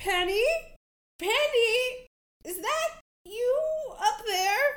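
A squeaky, put-on character voice sits at an extremely high pitch. It moves at a very slow pace. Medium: actual play. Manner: goofy, eager.

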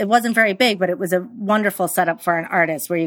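Talking very fast with an American accent, a woman uses a fairly low pitch and ordinary pitch variation. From New York. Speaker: interior designer. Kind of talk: interview conversation.

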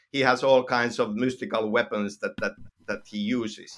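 With a Finnish accent, a man speaks at a medium pitch and moderate pace with ordinary pitch variation. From Finland. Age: 50s. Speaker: video game writer. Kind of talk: interview. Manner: halting.

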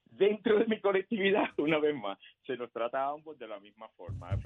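Talking at a fairly quick pace, a man with a Puerto Rican accent makes very wide pitch swings. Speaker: political candidate. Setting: phone call. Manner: formal, emphatic.

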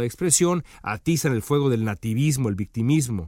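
An unremarkable speaking voice moves at a fairly quick pace with lively intonation. The sound is dry and close with no echo, in a very clean recording with a silent background. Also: man. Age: 40s. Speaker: political commentator. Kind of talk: opinion monologue.

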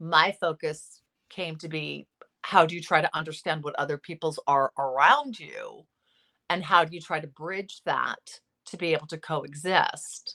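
Dry and close with no echo, a woman's very deep, low voice has a bright, sharp tone, a Californian accent, fairly even intonation and big swings in loudness. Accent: Californian American. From Los Angeles, US. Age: 50s. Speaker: psychotherapist. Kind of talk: interview.

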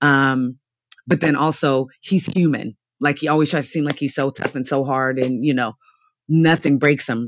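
At a moderate pace, the speech comes through a very clean recording with a silent background. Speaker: podcast co-host. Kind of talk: casual chat.

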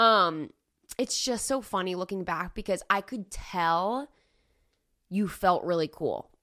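A woman's medium-pitched voice, animated and with a bright, sharp tone, at a fairly slow pace with ordinary pitch variation and long, frequent pauses. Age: 30s. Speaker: podcast co-host. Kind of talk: casual chat.

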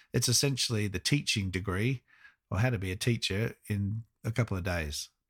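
A man with an Australian accent speaks in a fairly low, somewhat breathy voice with lively intonation, recorded very cleanly against a silent background with a dry, close sound and no echo. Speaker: podcast host and flight instructor. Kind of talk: solo podcast commentary.

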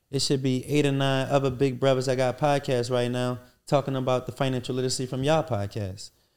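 In a flat, monotone delivery, a man talks very fast at a medium pitch. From Philadelphia (West Philly). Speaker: restaurant entrepreneur. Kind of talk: interview, casual chat.

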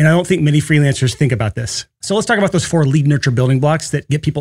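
A man speaks very fast in an animated tone. His voice is fairly high and somewhat breathy. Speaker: podcast host. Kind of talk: solo podcast episode. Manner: fast talker; animated, excitable.

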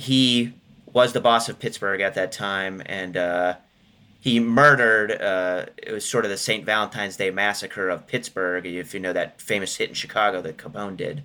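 A man's fairly low, bright and sharp voice at a moderate pace on a very clean recording with a silent background. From western Pennsylvania, Johnstown. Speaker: author and historian. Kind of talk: interview.

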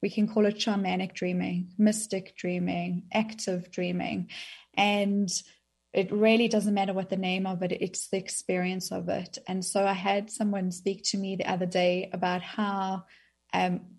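Against a quiet background, a woman at a medium pitch speaks at a moderate pace with monotone, flat intonation and a somewhat breathy sound. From South Africa. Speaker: author on dreams. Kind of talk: interview.

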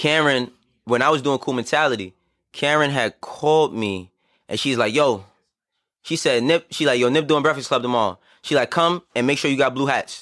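A man with an American accent talks at a fairly high pitch and a moderate pace. His pitch varies in an ordinary way, and the recording is very clean with a silent background. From New York City, Bronx. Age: 30s. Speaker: entertainer. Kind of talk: casual chat.

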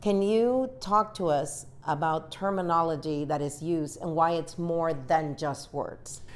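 Her voice is an unremarkable speaking voice, fairly low for a woman, moving at a fairly slow pace with ordinary pitch variation and hardly any pauses. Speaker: TV news journalist. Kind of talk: interview.

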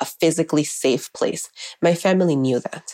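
A dark, mellow voice moves at a fairly slow pace, heard in a dry, close sound with no echo. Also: woman. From Miami. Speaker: educator. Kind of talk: personal testimony.

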